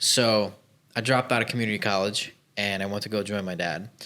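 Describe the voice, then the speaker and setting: With an American accent, a man speaks in a fairly low pitch and a bright, sharp tone with fairly even intonation. The recording is very clean, with a silent background. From Chicago, US Midwest. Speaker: business owner, former plumber. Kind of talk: podcast interview. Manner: casual, uses fillers.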